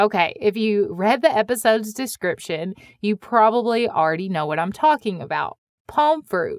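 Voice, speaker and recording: With an American accent, a woman speaks at a fairly high pitch and moderate pace in a very clean recording with a silent background. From US Midwest. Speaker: podcast host. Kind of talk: scripted podcast narration.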